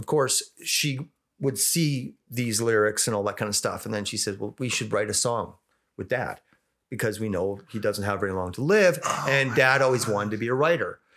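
A man with a Western Canadian accent on a very clean recording with a silent background. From Western Canada. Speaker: rock singer. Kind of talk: interview, personal storytelling. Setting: studio.

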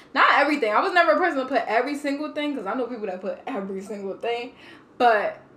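Over noticeable background noise, a woman with a high pitch talks at a very fast pace, her tone animated and her intonation lively. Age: 20s. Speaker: podcast guest. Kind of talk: casual chat.

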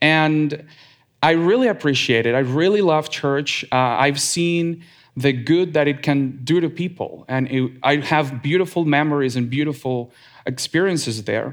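In a Spanish accent, a man talks at a fairly slow pace. His pitch is fairly high, with ordinary variation. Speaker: lay church speaker. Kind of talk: sermon. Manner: reading from a script, some hesitations and repeats.

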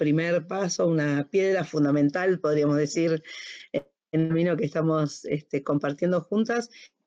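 A woman with an ordinary speaking voice, pitched fairly low, talks at a moderate pace. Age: 50s. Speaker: HR and organizational consultant. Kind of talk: casual chat. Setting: recording from home.

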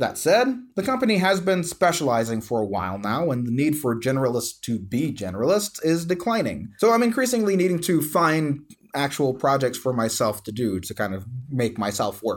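A man speaks at a fairly quick pace in a fairly high pitch. His pitch swings very widely. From South Louisiana, bayou country. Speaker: podcast host. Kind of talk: solo podcast monologue. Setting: office.

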